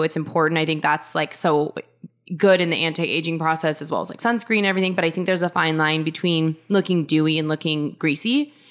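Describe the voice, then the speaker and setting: With an American accent, a woman speaks at a fairly quick pace in a fairly low pitch over noticeable background noise. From US Pacific Northwest, Seattle. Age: 20s. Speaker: reality TV cast member. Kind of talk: casual chat. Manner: animated.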